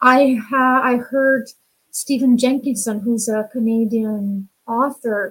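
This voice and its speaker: The speaker has a Romanian accent and fairly even intonation. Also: woman. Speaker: women's empowerment coach. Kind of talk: interview.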